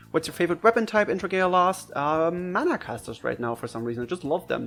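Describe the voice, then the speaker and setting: With a German accent, a man talks at a fairly quick pace in a high pitch with lively intonation, music playing in the background. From Germany. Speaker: gaming YouTuber. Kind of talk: Q&A video talking to camera. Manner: casual, hesitant with fillers.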